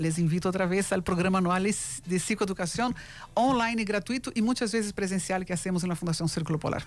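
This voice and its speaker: A woman at a very fast pace, medium in pitch, with ordinary pitch variation and very even loudness. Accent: Brazilian. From Brazil. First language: Portuguese (speaking Spanish). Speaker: foundation president, mental health advocate. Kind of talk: radio interview.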